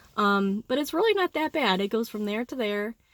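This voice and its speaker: A woman speaking at a very fast pace. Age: 40s. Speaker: vlogger sharing surgery recovery. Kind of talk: casual vlog testimony. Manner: hesitant, many fillers.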